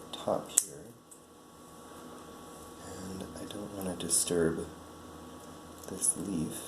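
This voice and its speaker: Through noticeable background noise, a man with a very deep, low pitch and a soothing tone speaks very slowly in a monotone, flat manner, with long, frequent pauses and big swings in loudness. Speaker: ASMR creator. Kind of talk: ASMR plant-care narration, calm explaining to the listener. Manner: soft, slow, soothing.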